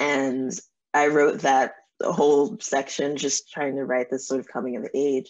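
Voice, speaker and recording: A woman with an American accent and a very deep, low pitch speaks at a fairly slow pace with ordinary pitch variation over a quiet background. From New Jersey and New York. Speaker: novelist; guest. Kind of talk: interview. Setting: video call. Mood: warm, smiling. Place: home room. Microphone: video call.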